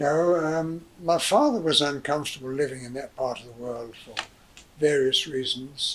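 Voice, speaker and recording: A man at a fairly high pitch and moderate pace, ordinary pitch variation, big swings in loudness, and noticeable background noise. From southern England (Hayes, Middlesex). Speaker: interviewee recounting family history. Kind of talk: oral history interview. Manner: halting, many fillers.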